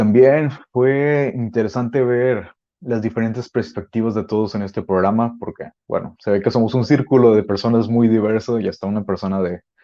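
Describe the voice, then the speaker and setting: With hardly any pauses, a man talks at a medium pitch in a dark, mellow tone, his pitch varying in an ordinary way against a quiet background. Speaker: podcast guest. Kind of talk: panel discussion. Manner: fast.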